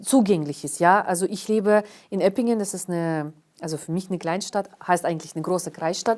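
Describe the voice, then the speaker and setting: The recording of this woman is very clean, with a silent background. Her pitch variation is ordinary. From Karelia, northern Russia. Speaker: historian and cultural organizer. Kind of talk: interview. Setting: studio. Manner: hesitant, many fillers.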